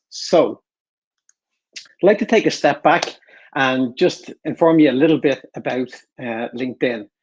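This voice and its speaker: Against a quiet background, a man speaks at a medium pitch and moderate pace with ordinary pitch variation. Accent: Irish. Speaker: enterprise account director. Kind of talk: webinar presentation.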